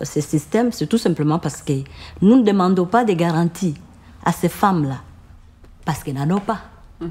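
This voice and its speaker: A woman with a fairly low pitch and lively intonation speaks at a moderate pace, leaving long, frequent pauses. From Congo (Ituri region). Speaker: microcredit association founder. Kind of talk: interview answer.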